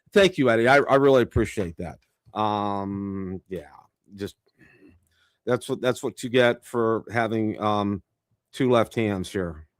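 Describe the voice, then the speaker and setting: On a very clean recording with a silent background and a dry, close sound with no echo, a man with a fairly low pitch and ordinary pitch variation speaks with long, frequent pauses. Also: fairly slow pace. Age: 60s. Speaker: drone reviewer and live stream host. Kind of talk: live stream casual chat. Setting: live stream. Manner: halting, many fillers and restarts.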